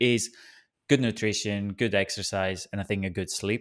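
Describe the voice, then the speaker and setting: A man with a Greek accent speaks at a moderate pace with fairly low pitch and fairly even intonation. The recording is very clean, the background silent. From Greece. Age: 20s. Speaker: podcast host. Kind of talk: casual interview chat.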